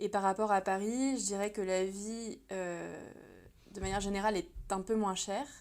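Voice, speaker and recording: A woman talks at a medium pitch and a moderate pace. Her intonation stays fairly even. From France. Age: 30s. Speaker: illustrator and translator. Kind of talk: podcast interview. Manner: hesitant, many fillers.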